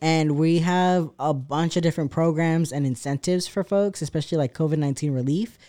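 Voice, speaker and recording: A man with an American accent speaks at a fairly quick pace with hardly any pauses. His fairly high voice has a dark, mellow tone and fairly even intonation. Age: 20s. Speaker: artist and activist. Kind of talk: casual chat.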